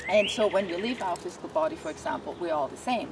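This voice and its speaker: A woman with a medium-pitched voice talks at a very fast pace over noticeable background noise. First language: not English. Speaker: animal communicator. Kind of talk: interview.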